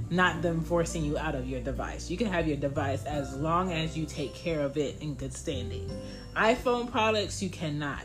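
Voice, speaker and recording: With clear music in the background, a woman speaks at a moderate pace. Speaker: podcast host. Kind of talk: casual podcast monologue. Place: home room. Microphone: phone near.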